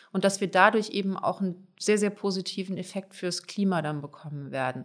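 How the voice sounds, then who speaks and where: A woman with a plain, everyday voice speaks at medium pitch and a moderate pace. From Germany, Palatinate (Pfälzer Wald village). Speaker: politician. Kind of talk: podcast interview.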